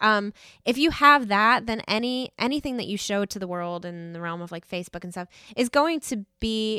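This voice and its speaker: A woman with an American accent has a bright, sharp tone and lively intonation. The recording is very clean and dry, close with no echo, with a silent background. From New York. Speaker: worship team member and photographer leading a church workshop. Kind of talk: interview.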